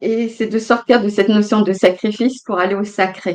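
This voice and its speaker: A woman speaks in an ordinary speaking voice. Her pitch is medium and her intonation fairly even. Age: 60s. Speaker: guest speaker on family healing. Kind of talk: casual interview chat. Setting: livestream.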